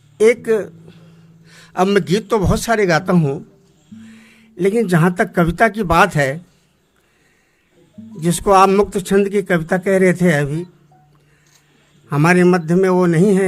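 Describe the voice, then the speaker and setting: Music plays behind a man with a high pitch and fairly even intonation. He leaves long, frequent pauses. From Almora district, Kumaon, Uttarakhand, India. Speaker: Kumaoni folk singer and poet. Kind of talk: talk to audience on stage. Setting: auditorium stage. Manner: simple, unpretentious.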